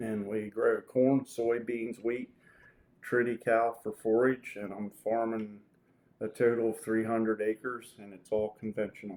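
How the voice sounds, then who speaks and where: A man with an American accent talks at a fairly slow pace in a monotone, flat voice of medium pitch, with big swings in loudness. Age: 60s. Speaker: dairy farmer. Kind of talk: interview. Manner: casual, hesitant with fillers.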